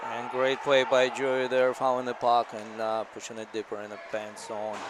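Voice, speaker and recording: A man speaks at a moderate pace in a monotone, flat delivery. His loudness swings widely against noticeable background noise. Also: medium pitch for a man. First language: not English. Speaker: hockey parent color commentator. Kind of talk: live commentary.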